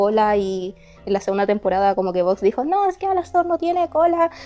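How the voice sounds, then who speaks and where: A woman's fairly high voice with lively intonation and a fairly quick pace, over music in the background. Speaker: YouTuber and illustrator. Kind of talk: casual commentary voiceover. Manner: halting, many filler pauses.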